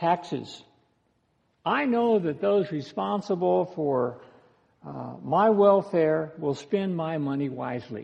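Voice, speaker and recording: Fairly high in pitch, a man with an American accent speaks at a very slow pace with lively intonation. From United States. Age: 60s. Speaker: pastor. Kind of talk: sermon.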